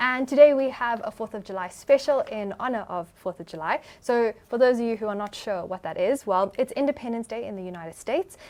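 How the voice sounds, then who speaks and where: Talking at a fairly quick pace with hardly any pauses, a woman with a South African accent uses a fairly high pitch, lively intonation and big swings in loudness. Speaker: podcast host. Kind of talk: podcast interview.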